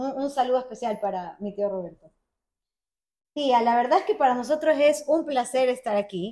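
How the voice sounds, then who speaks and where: Her high voice has a dark, mellow tone. The woman speaks at a moderate pace with lively intonation. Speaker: food podcast host. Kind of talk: casual interview. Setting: guest's home.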